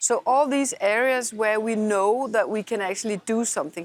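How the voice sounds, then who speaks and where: Using an unremarkable speaking voice, a woman talks at a fairly slow pace with ordinary pitch variation and a dry, close sound with no echo. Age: 60s. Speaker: politician. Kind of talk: interview. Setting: parliament building.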